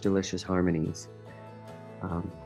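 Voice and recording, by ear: With music in the background, a man speaks in a very deep, low voice with fairly even intonation.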